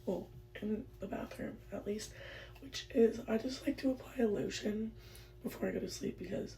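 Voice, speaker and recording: A woman with an American accent over noticeable background noise. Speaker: lifestyle vlogger. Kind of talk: get ready with me vlog. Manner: casual, filler-heavy.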